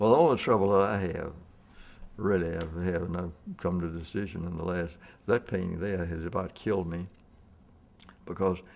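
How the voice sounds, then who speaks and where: With a Mississippi accent, a man speaks at a fairly quick pace in a very deep, low pitch, his intonation fairly even and broken by long, frequent pauses. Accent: Southern US (Mississippi). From US South (Mississippi). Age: 80s+. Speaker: portrait painter. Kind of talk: casual chat. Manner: halting.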